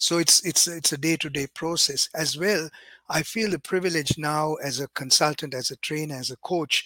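A man speaks with a bright, sharp tone and a fairly high pitch. The sound is dry and close, with no echo. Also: fairly even intonation, moderate pace. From Sri Lanka. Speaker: diversity trainer. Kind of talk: webinar presentation. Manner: halting, many repetitions.

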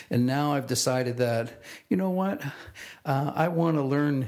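A man speaking at a very slow pace, with audible echo in the room. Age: 60s. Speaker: podcast host. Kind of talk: podcast monologue on quotes.

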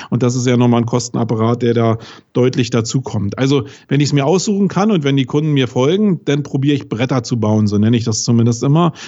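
A man with a medium-pitched voice rushes along at a very fast pace. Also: ordinary pitch variation, very even loudness. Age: 40s. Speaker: SEO agency owner. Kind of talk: interview. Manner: hesitant fillers.

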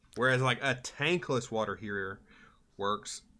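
Bright and sharp, a man's medium-pitched voice moves at a moderate pace. The recording is very clean, with a silent background. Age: 20s. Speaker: podcast co-host.

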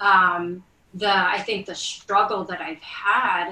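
A woman speaks at a very slow pace. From Venezuela. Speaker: church member. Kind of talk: testimony. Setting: video call.

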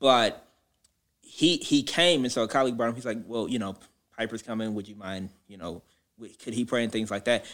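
On a very clean recording with a silent background, a man speaks in an ordinary speaking voice at a fairly quick pace, medium-pitched with ordinary pitch variation and big swings in loudness. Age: 20s. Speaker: pastor. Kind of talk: casual chat.

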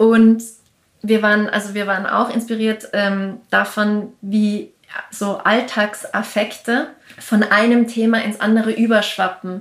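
At a very slow pace, a woman speaks with a fairly high pitch and monotone, flat intonation. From Austria. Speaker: performance and video artist. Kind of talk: interview. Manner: halting, many fillers.

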